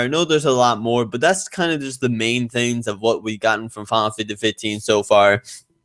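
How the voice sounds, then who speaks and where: A man's normal speaking voice, fairly quick in pace, with ordinary pitch variation. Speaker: gaming channel host. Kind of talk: solo podcast commentary. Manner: casual, excitable.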